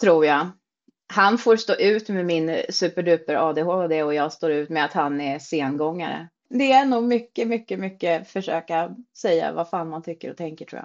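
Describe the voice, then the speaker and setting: A woman with an unremarkable speaking voice, fairly low in pitch, lively in intonation, with big swings in loudness, at a moderate pace. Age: 40s. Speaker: social media creator on weight-loss surgery. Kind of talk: casual chat.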